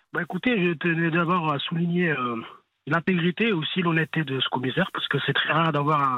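A man's high-pitched voice at a fairly quick pace. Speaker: caller. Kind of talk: heated debate. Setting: phone call.

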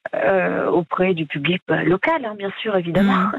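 A woman speaks with ordinary pitch variation. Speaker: caller. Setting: phone call.

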